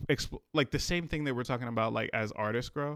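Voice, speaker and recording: A man speaks with an American accent at a medium pitch. The recording is very clean, with a silent background. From Richmond, Virginia, US. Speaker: rapper. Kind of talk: casual interview. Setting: studio. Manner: many fillers, halting.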